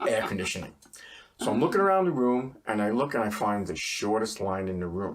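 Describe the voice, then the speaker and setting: A man with a New York accent talks at a fairly quick pace. His voice is fairly low in pitch, with lively intonation. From New York City, Queens (Forest Hills). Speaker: accountant, small business owner. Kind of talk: casual interview. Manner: animated, joking.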